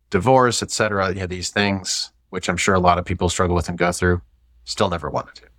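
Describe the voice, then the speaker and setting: A man speaks very fast with an American accent, his pitch very deep and low and his intonation fairly even. His loudness swings a lot, and the recording is very clean with a silent background. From US Midwest, St. Louis. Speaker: IT executive. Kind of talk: casual chat.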